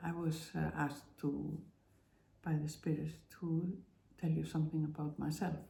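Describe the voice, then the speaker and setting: Speaking at a fairly slow pace, a woman with a non-native accent has a fairly low pitch, a dark, mellow tone, and a somewhat breathy sound, with audible room echo. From Iceland. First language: Icelandic. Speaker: spiritual vlogger. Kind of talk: personal testimony monologue. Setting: at home. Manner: halting, many fillers.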